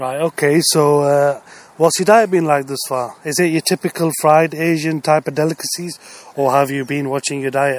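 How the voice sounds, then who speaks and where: A man speaks in a British accent at a moderate pace, with a fairly high pitch and fairly even intonation. The sound is dry and close, with no echo. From Britain. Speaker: podcast host, entrepreneur and coach. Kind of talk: casual interview. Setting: outdoors.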